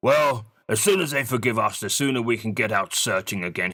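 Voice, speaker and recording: A man's put-on character voice, raspy and medium-pitched, at a fairly quick pace in a very clean recording with a silent background. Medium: read story. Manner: polite, fussy, English.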